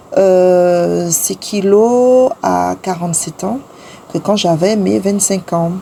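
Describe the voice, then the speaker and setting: Background noise is noticeable as a woman talks very slowly. Her pitch is medium, with ordinary variation. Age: 40s. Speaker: lifestyle vlogger. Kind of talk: vlog narration. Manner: hesitant with many fillers.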